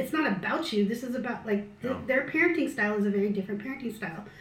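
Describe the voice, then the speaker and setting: Speaking fairly quickly with lively intonation, a woman with an American accent is heard amid audible room echo. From US, Filipino American. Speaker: missiology doctoral student. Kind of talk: casual chat over a meal. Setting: at her home around a meal.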